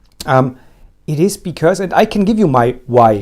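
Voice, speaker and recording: The speaker is a man with a German accent. He talks at a fairly slow pace with lively intonation. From Germany. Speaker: tech podcast co-host. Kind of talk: casual chat. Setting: live stream. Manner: halting.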